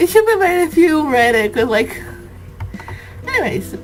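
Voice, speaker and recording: With music in the background, a woman speaks with a non-native accent. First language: not English. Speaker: let's play gamer. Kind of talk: reading game text aloud with commentary.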